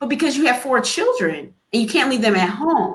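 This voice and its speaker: A woman speaks in a high pitch. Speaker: pediatrician. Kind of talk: panel discussion. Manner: fast.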